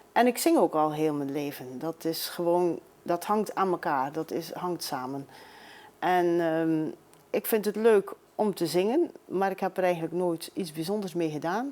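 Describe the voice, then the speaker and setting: A woman speaks with a dark, mellow tone in a fairly low voice. Her pace is fairly slow, and her pitch varies in an ordinary way. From Belgium, Maldegem (East Flanders). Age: 60s. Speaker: amateur singer. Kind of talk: interview.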